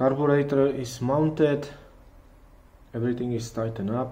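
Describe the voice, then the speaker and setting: With a non-native accent, a man speaks at medium pitch in a dark, mellow tone with ordinary pitch variation, and room echo can be heard. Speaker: car hobbyist YouTuber. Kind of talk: tutorial. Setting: garage. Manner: halting.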